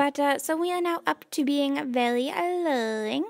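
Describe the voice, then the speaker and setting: Against a quiet background, a woman talks in a relaxed tone. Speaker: gaming youtuber. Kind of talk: let's play commentary. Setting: home recording. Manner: quieter than usual; low-energy, relaxed. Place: home room.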